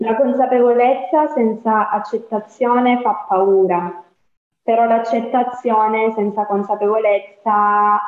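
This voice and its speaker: A woman with a Calabrian accent speaks fairly slowly at a fairly high pitch, keeping fairly even intonation and very even loudness. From Calabria, southern Italy. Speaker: psychologist. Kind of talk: casual chat.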